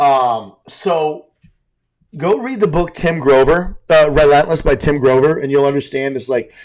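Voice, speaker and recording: An animated man with an American accent speaks at a fairly slow pace. His fairly high voice shows ordinary pitch variation. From Colorado. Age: 30s. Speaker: business owner and livestreamer. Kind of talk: casual livestream talk. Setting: livestream.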